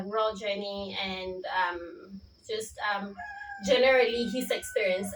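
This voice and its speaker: Over noticeable background noise, a woman at a medium pitch speaks fairly slowly in a monotone, flat intonation. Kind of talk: interviewer, casual talk to camera.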